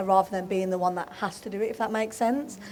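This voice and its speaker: A woman with a Birmingham accent talks very fast at a medium pitch. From Birmingham, England. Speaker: footballer. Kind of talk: live podcast panel interview.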